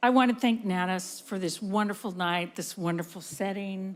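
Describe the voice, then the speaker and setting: A woman with an ordinary speaking voice talks at medium pitch, her pitch variation ordinary, on a very clean recording with a silent background. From San Francisco, US. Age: 60s. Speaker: veteran TV news journalist, award honoree. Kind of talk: award acceptance speech.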